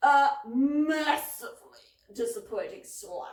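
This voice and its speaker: A woman puts on a character voice, high-pitched with very wide swings in pitch, speaking at a fairly slow pace with a slight echo. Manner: cold, stern.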